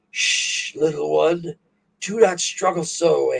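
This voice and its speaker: It's a put-on character voice, raspy and at a middle pitch. The pace is fairly slow. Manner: scolding, soothing menace.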